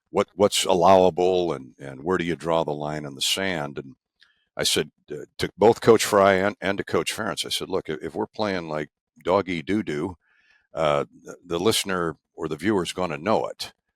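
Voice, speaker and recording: With a Midwestern US accent, a man speaks at a moderate pace in a very deep, low voice with ordinary pitch variation and big swings in loudness, recorded dry and close with no echo in a very clean recording with a silent background. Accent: US Midwest. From Eastern Iowa. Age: 70s. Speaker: sports play-by-play broadcaster. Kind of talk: oral history interview. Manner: halting with many fillers.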